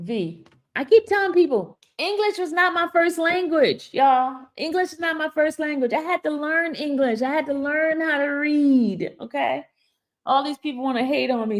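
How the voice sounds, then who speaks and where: A woman's high, animated voice with lively intonation and a Haitian accent, on a very clean recording with a silent background. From Haiti/Dominican family, raised in US from age 6 (Brooklyn). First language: Haitian Creole. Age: 50s. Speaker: YouTube commentator. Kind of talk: live stream commentary.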